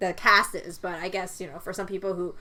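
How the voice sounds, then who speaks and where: A woman speaks in a Cantonese accent. Her tone is bright and sharp. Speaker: podcast co-host. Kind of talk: casual chat. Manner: halting, many fillers and repeats.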